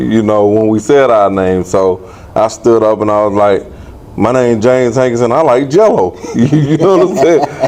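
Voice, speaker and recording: A man with a Southern US accent talks at a moderate pace and medium pitch, his intonation lively. Noticeable background noise sits behind him. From Aiken, South Carolina. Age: 40s. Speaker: former boxer. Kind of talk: interview.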